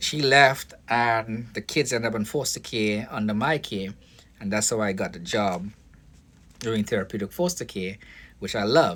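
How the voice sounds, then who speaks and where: Here is a man with a Caribbean accent and a fairly low pitch. He keeps a moderate pace with ordinary pitch variation. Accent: foreign (Caribbean). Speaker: vlogger, foster care worker and boxing coach. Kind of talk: casual monologue vlog. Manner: halting, many fillers and restarts.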